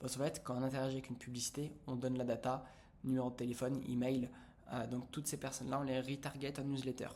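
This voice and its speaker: Words come from this man at a very fast pace. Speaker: business coach. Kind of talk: tutorial. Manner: animated.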